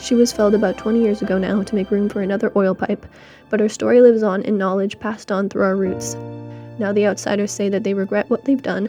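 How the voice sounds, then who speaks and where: Music plays in the background as a woman speaks at medium pitch. Her pace is very fast. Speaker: student. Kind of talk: first-person story narration as a tree. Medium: read story.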